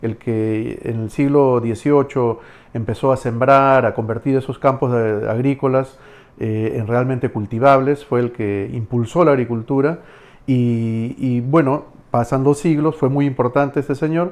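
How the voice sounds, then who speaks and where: A man speaks in a normal speaking voice at a fairly slow pace. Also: medium pitch for a man. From Camaná, Arequipa, Peru. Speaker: historian, dentist and writer. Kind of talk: podcast interview answer.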